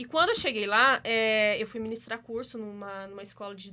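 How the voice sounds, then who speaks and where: A woman's voice has a bright, sharp tone at a moderate pace. The recording is very clean, with a silent background. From Minas Gerais, Brazil.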